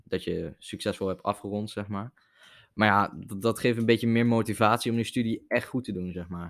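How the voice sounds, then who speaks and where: A man with a plain, everyday voice, at a moderate pace and with fairly even intonation, in a very clean recording with a silent background and a dry, close sound with no echo. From Netherlands, Zevenaar. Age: young. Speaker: podcast guest. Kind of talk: casual chat.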